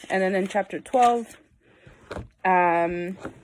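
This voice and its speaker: On a very clean recording with a silent background, a woman talks very slowly at medium pitch with ordinary pitch variation. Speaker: church member sharing Bible reflection. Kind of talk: casual Bible devotional talk. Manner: casual, hesitant with fillers.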